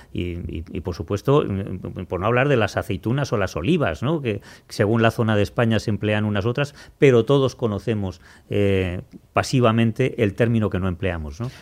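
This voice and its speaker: On a very clean recording with a silent background, a man speaks in a plain, everyday voice. His pitch is fairly low with ordinary variation, at a moderate pace. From Spain. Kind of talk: casual chat.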